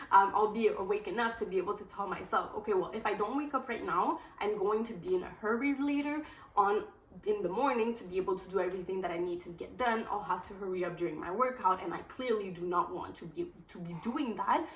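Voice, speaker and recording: A woman talks at a very fast pace, her pitch medium and her intonation lively. Her loudness swings widely, and noticeable noise sits in the background. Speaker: lifestyle vlogger. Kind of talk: casual vlog talk to camera.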